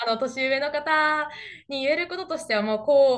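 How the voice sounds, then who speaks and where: Speaking at a moderate pace, a woman talks. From Japan. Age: young. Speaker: interview guest. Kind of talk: interview. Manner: confident. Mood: cheerful, smiling. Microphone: webcam.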